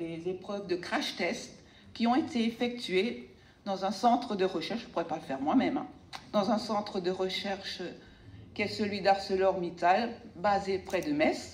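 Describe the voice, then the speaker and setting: A woman's medium-pitched voice at a fairly slow pace, with lively intonation and noticeable background noise. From Alsace, France. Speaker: sculptor. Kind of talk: speech to audience.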